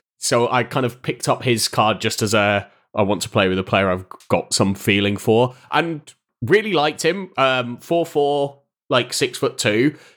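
With a British accent, a man speaks at a moderate pace and medium pitch, his intonation lively. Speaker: content creator and streamer. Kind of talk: casual chat.

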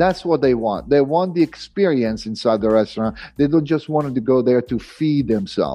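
At a moderate pace, a man speaks at a medium pitch with ordinary pitch variation and very even loudness while music plays in the background. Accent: Italian. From Italy. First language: Italian. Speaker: private chef. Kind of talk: interview.

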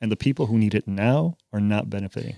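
Speaking at a very fast pace, a man with a fairly low pitch comes through in a very clean recording with a silent background and a dry, close sound with no echo. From Chicago, US Midwest. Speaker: newspaper journalist and editor. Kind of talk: casual chat. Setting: studio.

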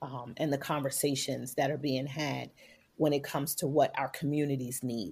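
Vocal fry runs through a woman's very deep, low voice with fairly even intonation. The recording is very clean, with a silent background. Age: 40s. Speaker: entrepreneur and motivational speaker. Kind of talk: interview.

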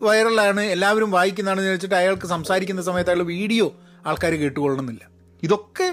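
A man talks at a high pitch. His loudness stays very even. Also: ordinary pitch variation. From Kerala Malayali, schooled in Dubai. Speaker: podcaster and movie reviewer. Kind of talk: solo podcast monologue. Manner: code-switching Malayalam and English; halting, many pauses.

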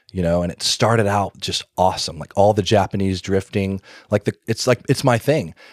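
With an American accent and a plain, everyday voice, a man speaks at a fairly quick pace and fairly low pitch with fairly even intonation, in a dry, close sound with no echo on a very clean recording with a silent background. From US South, Alabama (Birmingham). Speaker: car parts business owner. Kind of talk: casual chat.

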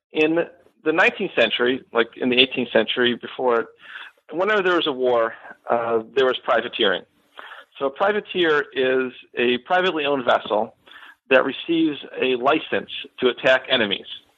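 A man with an American accent and medium pitch talks at a moderate pace, using lively intonation and long, frequent pauses. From Western New York, Buffalo area. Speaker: historian and author. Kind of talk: interview. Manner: hesitant, many fillers.

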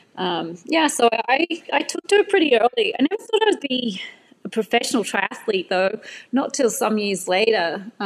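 A woman with a high voice swings very widely in pitch, recorded dry and close with no echo amid noticeable background noise. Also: moderate pace. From Australia. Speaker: retired professional triathlete. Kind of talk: casual interview.

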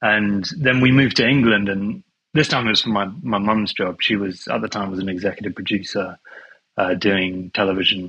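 A fairly low-pitched male voice with a British accent, bright and sharp in tone, ordinary pitch variation and a moderate pace. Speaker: film composer. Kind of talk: casual interview chat. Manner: easygoing.

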